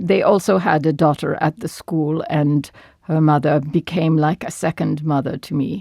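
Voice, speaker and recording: A woman speaks at a moderate pace with a very deep, low pitch and fairly even intonation. The sound is dry and close, with no echo. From Turkey, Istanbul. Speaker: former wartime wireless operator, interviewee. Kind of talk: interview testimony. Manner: halting.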